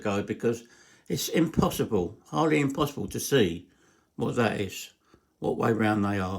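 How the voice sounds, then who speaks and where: On a very clean recording with a silent background, a man with an English accent talks at a fairly slow pace. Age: 60s. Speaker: hobbyist engine builder. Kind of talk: workshop tutorial. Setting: garage. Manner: halting.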